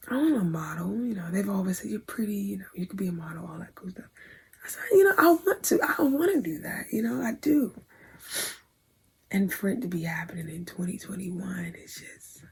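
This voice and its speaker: At a fairly quick pace, a woman of medium pitch talks with very wide pitch swings and big swings in loudness. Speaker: vlogger, aspiring model. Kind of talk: casual vlog storytelling.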